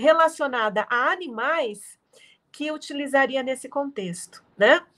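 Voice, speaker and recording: The delivery is very slow, with lively intonation. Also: woman. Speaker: literature professor. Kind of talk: lecture. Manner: soothing.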